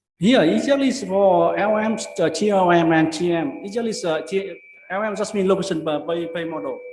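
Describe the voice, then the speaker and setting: Over noticeable background noise and audible room echo, a man talks at a fairly quick pace in a high voice with ordinary pitch variation. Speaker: conference paper presenter. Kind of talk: conference presentation and Q&A. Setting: academic conference. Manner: fast; halting, many fillers and repeats.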